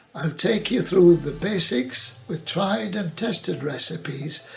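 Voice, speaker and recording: Music plays in the background as a man speaks fairly slowly. His voice sits fairly high with ordinary pitch variation. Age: 80s+. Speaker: home cook. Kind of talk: casual talk to camera. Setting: home kitchen.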